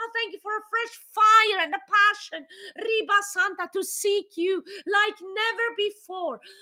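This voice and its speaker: A woman's extremely high, raised and projected voice, bright and sharp in tone, with fairly even intonation at a fairly slow pace. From Switzerland. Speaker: pastor. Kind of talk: fervent, passionate prayer in tongues, intercession with rising intensity. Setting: live online broadcast. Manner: passionate, urgent, fervent.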